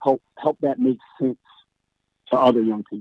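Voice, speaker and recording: A man with an American accent, fairly even intonation and a moderate pace. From Philadelphia, US. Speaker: basketball coach. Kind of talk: interview.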